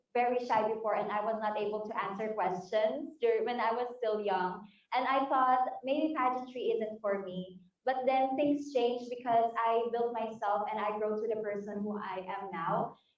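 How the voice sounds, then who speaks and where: In a room with audible echo, a woman speaks at a moderate pace with a fairly high pitch and fairly even intonation. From Philippines, Batangas. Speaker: beauty pageant contestant. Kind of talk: pageant interview.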